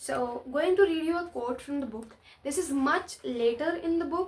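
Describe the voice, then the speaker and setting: Her pitch moves in an ordinary way. It's a woman talking. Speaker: book reviewer. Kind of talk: casual book review vlog. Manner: animated; loud.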